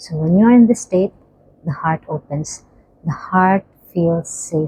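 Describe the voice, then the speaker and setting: Somewhat breathy and dark, mellow in tone, a woman speaks at a fairly slow pace and fairly low pitch with ordinary pitch variation, the sound dry and close with no echo. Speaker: spiritual healing coach. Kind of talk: guided breathing and healing talk. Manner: soft, relaxed; slow counting pace.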